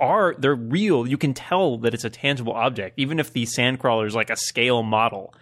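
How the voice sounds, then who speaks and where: In a normal speaking voice, a man talks at a fairly quick pace and a medium pitch with ordinary pitch variation. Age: 30s. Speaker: podcast panelist. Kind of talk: casual chat.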